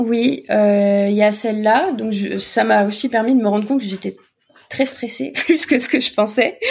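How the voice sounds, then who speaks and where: This woman has an unremarkable speaking voice, fairly high in pitch with ordinary pitch variation. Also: moderate pace. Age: 20s. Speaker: assistance dog owner with fibromyalgia. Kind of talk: podcast interview.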